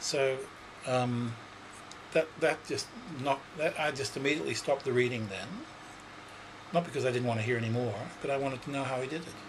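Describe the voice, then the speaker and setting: A man with an Australian accent talks at a very fast pace and a medium pitch, with ordinary pitch variation. Long, frequent pauses break up his speech, and noticeable background noise sits behind it. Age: 60s. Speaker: psychic. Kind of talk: interview. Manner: hesitant, many fillers.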